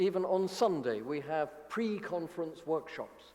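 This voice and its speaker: With a British accent, a man speaks at a moderate pace in a high voice with ordinary pitch variation over noticeable background noise. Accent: English accent from the United Kingdom. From United Kingdom. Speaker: academic society leader. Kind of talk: conference opening speech.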